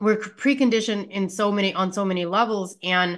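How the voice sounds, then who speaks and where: In a normal speaking voice, a woman with an American accent talks at a medium pitch with ordinary pitch variation against a quiet background. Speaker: healthcare practitioner and wellness entrepreneur. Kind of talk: interview.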